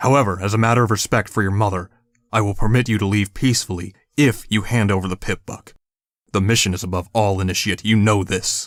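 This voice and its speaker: A man does a booming put-on character voice, fairly low and with fairly even intonation. He goes at a very fast pace in a very clean recording with a silent background. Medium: read story. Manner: authoritative, formal, archaic phrasing.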